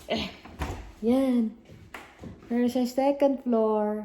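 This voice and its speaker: Speech moves at a very slow pace with fairly even intonation. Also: woman. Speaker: vlogger. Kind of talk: casual vlog walkthrough. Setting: walking tour of a house.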